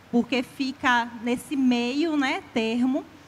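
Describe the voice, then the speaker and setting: A woman speaks with a high pitch. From Bahia interior, Brazil (Tanquinho). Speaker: poet, author. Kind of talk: literary panel talk.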